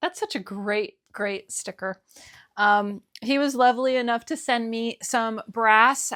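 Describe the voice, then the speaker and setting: In a very clean recording with a silent background and a dry, close sound with no echo, a woman with an ordinary speaking voice talks at a fairly slow pace, her pitch fairly high and its variation ordinary. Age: 50s. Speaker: BookTuber. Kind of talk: casual talk to camera.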